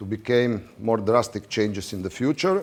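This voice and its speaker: Speech comes at a fairly slow pace. It carries a non-native accent. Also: man. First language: not English. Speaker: water polo referee official. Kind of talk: lecture. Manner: halting.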